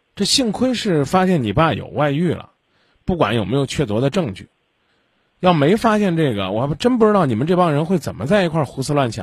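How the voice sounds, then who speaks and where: Somewhat breathy and fairly high-pitched, a man speaks at a fairly quick pace with very wide pitch swings. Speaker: radio call-in advice host. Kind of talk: call-in advice, blunt questioning. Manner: blunt, interrupting.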